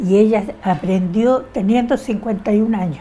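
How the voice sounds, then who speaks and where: A woman's moderate pace and ordinary pitch variation come through over noticeable background noise. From Chile. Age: 80s+. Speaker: interviewee, feminist. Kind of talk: oral history interview.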